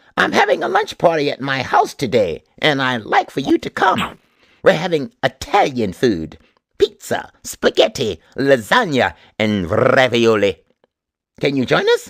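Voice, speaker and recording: A man's put-on character voice at medium pitch. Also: moderate pace. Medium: read story.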